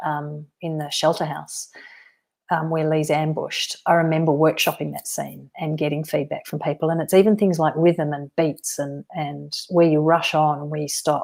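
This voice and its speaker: Monotone, flat intonation in an Australian accent, at a moderate pace with big swings in loudness. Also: woman. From Western Australia. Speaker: novelist. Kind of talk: live-stream author Q&A. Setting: solo live stream.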